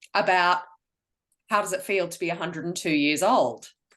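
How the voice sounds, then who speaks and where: A woman is speaking. Her tone is bright and sharp. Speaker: interviewer. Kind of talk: interview questions.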